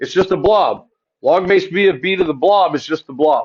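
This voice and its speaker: Loud and at a fairly quick pace, a man speaks in a high pitch with ordinary pitch variation. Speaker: math teacher. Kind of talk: lecture. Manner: loud, commanding teaching voice; fast.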